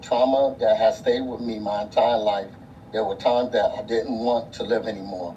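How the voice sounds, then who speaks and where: Over noticeable background noise and audible room echo, a man speaks at a moderate pace. His pitch is medium, with ordinary variation. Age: 60s. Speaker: abuse survivor giving testimony. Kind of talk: testimony. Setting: city council hearing.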